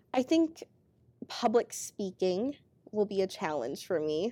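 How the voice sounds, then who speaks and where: With an American accent, a woman speaks at a moderate pace in a medium pitch and a dark, mellow tone. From rural Minnesota. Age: 20s. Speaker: air national guard airman. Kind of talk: interview.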